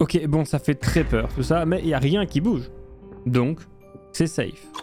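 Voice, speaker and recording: Music plays behind a man speaking at a fairly slow pace. His loudness stays very even. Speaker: YouTuber, gaming narrator. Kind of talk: gameplay commentary. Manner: casual, joking.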